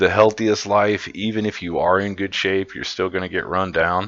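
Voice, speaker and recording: With a Midwestern US accent, a man speaks at a moderate pace in a fairly low pitch, his tone bright and sharp and his intonation monotone and flat, against a quiet background. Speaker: metal concert reviewer, YouTuber. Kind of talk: casual monologue video review. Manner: casual, rambling with fillers and profanity.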